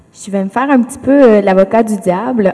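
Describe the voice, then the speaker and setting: Noticeable background noise sits behind this woman. Her pitch is medium, with ordinary variation. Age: 20s. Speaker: education student. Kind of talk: panel discussion.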